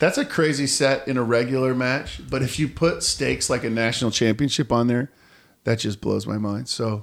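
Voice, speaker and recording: A plain, everyday voice from a man, medium-pitched and fairly even in intonation. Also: moderate pace. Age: 40s. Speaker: podcast host and volleyball coach. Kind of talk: casual chat.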